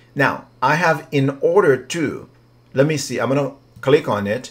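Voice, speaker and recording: A man with a non-native accent, at a fairly slow pace. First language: not English. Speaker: writing coach. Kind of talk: software tutorial. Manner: casual, hesitant.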